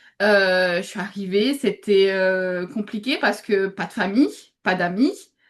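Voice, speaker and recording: Delivery comes at a fairly slow pace. The rise and fall of pitch is ordinary. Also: woman, medium pitch for a woman. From Réunion. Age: 20s. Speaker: UGC content creator, student. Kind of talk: interview. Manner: hesitant, many fillers.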